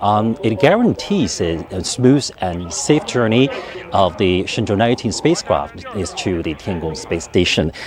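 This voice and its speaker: With music in the background, a man with a fairly low pitch speaks slowly-ish, at a fairly slow pace, with lively intonation. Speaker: TV reporter. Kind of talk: live reporting. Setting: mission control center. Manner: halting; soft-spoken.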